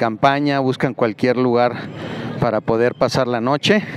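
A man talks at a fairly slow pace with fairly even intonation, the sound dry with no echo and light background noise behind him. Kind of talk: commentary. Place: street. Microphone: phone near.

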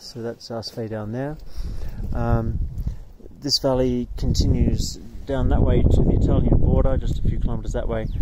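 Loud background noise surrounds a man speaking at a moderate pace, with long, frequent pauses. The sound is dry, with no echo. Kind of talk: casual vlog narration. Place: open country. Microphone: phone near.

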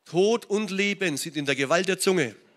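Against a quiet background, the man's intonation is lively and his pace moderate. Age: 60s. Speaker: pastor. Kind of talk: sermon. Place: church. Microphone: handheld.

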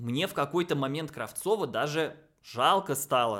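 A man with a fairly bright tone speaks at a moderate pace. His pitch swings in big leaps.

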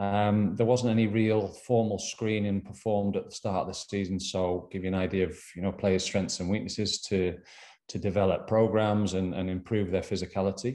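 A man's fairly low voice, dark and mellow in tone, with flat, monotone intonation. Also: moderate pace. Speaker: sports performance coach presenter. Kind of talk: lecture. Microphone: webcam.

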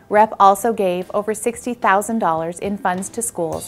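A woman speaks with fairly even intonation over faint background music. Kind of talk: prepared announcement. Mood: friendly, formal. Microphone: lapel.

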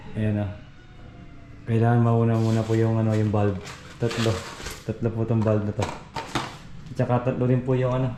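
A man at a fairly quick pace, with monotone, flat intonation and long, frequent pauses, amid noticeable background noise. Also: medium pitch for a man. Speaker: construction vlogger. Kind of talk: vlog walkthrough. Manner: casual, filler-heavy.

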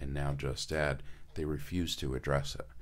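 In an American accent, a man speaks with ordinary pitch variation. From Connecticut. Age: 60s. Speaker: senior care business owner; radio guest. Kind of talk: radio interview. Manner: hesitant, many fillers. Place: studio. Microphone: studio mic.

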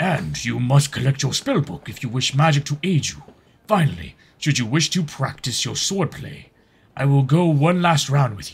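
Using a put-on character voice, a man speaks at a moderate pace with a fairly high pitch and lively intonation. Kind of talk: fantasy game narration read aloud. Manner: formal, dutiful, measured.

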